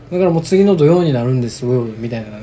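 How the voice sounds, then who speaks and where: Noticeable background noise runs under a man whose voice moves through very wide pitch swings. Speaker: podcast co-host. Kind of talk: casual chat.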